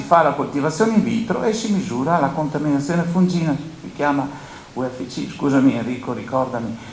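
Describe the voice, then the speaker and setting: A man speaks at a fairly high pitch and a fairly quick pace with very wide pitch swings, against noticeable background noise and audible room echo. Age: 70s. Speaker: grain dryer operator and agricultural speaker. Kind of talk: panel talk at a conference.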